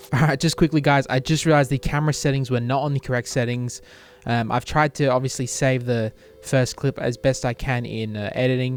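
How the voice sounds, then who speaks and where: Fairly quick speech in an Australian accent, with music in the background. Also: man, medium pitch for a man. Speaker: cube shop owner and reviewer. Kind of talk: unboxing review. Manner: tongue-tied, many fillers; enthusiastic.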